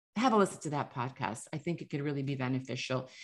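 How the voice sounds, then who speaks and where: Lively intonation and vocal fry mark a woman's very deep, low voice. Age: 50s. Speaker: podcast host and author. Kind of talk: casual monologue. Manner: animated.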